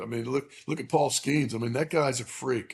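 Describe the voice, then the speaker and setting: The man's voice is somewhat breathy. He holds a medium pitch and talks at a moderate pace. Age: 60s. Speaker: high school baseball coach. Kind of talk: casual interview chat. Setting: remote recording. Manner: halting, many fillers.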